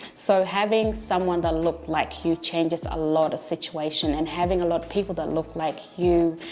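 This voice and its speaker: Against noticeable background noise, a woman talks at a fairly quick pace with a fairly low pitch and monotone, flat intonation. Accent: non-native. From came to Australia at age eleven. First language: not English. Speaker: teacher and learning centre founder. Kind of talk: documentary interview.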